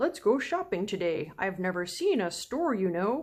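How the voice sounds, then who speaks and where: A woman puts on a character voice at a moderate pace, her pitch sitting in the middle range. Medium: read story. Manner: cheerful, friendly.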